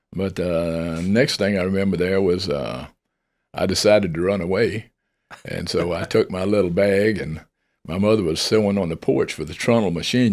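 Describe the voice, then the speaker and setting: A man with a Mississippi accent talks at a moderate pace in a very deep, low voice with ordinary pitch variation. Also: very clean recording, silent background. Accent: Southern US (Mississippi). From US South, northern Mississippi (Benton County). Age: 80s+. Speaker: air force veteran. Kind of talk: casual interview, personal storytelling. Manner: talkative.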